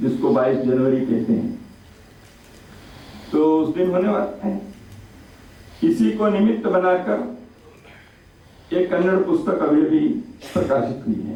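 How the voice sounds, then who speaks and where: A man with a high pitch speaks with long, frequent pauses, and room echo is audible. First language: Kannada (speaking Hindi). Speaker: chief guest speaker at book launch. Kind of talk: formal speech at book launch. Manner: formal.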